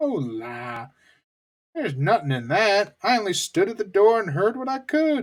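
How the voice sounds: A man does a put-on character voice with a Southern US accent, pitched high with very wide pitch swings. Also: moderate pace. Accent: Southern American.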